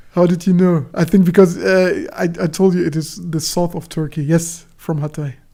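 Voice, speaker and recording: Her voice is fairly low for a woman, dark and mellow in tone, with monotone, flat intonation. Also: moderate pace, hardly any pauses. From Germany. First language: Turkish. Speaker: book channel host. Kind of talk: casual livestream chat. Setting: livestream. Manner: halting.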